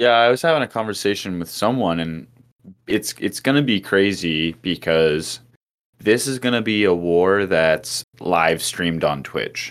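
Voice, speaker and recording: A man speaks with a fairly low pitch at a fairly slow pace. His intonation is lively. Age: 20s. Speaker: musician. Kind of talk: casual chat.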